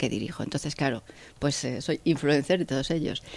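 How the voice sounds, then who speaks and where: Over a silent background in a very clean recording, a woman speaks with a very deep, low pitch. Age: 50s. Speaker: engineer and factory director. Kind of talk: interview.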